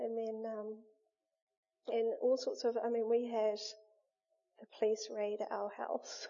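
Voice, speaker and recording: A woman with a fairly high voice speaks in a flat monotone. Her pace is very slow, with long, frequent pauses. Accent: New Zealand. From New Zealand, Wellington region. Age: 30s. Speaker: churchgoer giving testimony. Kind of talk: testimony interview.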